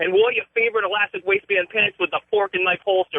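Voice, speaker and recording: A man talks at a very fast pace with an American accent. His pitch sits high. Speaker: caller. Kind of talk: prepared comedic roast. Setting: phone call.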